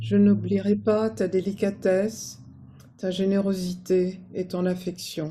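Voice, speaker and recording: A woman talks at a medium pitch. Her tone is dark and mellow, and somewhat breathy. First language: French. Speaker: friend giving a eulogy. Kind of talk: memorial tribute.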